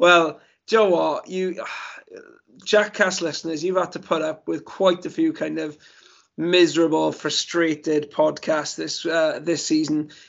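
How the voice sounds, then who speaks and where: In a Welsh accent, the speaker goes at a fairly slow pace in a monotone, flat intonation. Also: man, high pitch for a man. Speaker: football podcast host. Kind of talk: casual chat.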